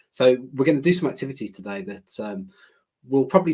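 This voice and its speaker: Talking at a very fast pace, a man speaks with a British accent. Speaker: learning director presenter. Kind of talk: webinar presentation. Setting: online webinar.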